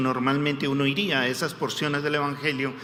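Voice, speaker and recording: There is noticeable background noise and audible room echo as a man talks at a moderate pace and a fairly high pitch. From Peru, Lima. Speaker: guest preacher. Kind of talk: sermon.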